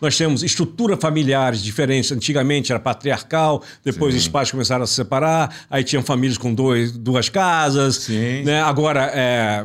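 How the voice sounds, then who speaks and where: A man with a plain, everyday voice speaks at a moderate pace in a medium pitch, with ordinary pitch variation and very even loudness, in a very clean recording with a silent background. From Brazil (born in Italy, raised in Brazil from infancy). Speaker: business mentor and consultant. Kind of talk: interview. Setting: studio.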